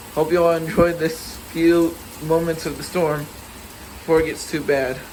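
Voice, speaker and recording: Against noticeable background noise and audible room echo, a man talks at a moderate pace. His fairly high voice has monotone, flat intonation. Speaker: storm video maker. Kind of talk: casual vlog commentary.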